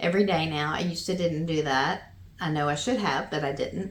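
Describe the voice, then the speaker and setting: A woman with a Southern US accent speaks in a bright, sharp tone, and audible room echo surrounds her. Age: 50s. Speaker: vlogger. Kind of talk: casual chat.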